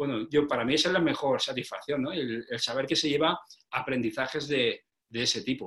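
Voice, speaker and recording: A fairly high-pitched man talks at a fairly quick pace, his pitch moving in an ordinary way. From Spain, Petrel, province of Alicante. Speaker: sales trainer and author. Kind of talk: interview. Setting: video call. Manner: halting, with many repeated words.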